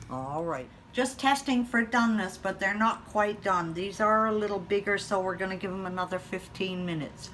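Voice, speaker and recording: This woman has an unremarkable speaking voice at a medium pitch, with ordinary pitch variation, a moderate pace and hardly any pauses. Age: 60s. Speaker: home cook. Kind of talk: cooking tutorial. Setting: home kitchen.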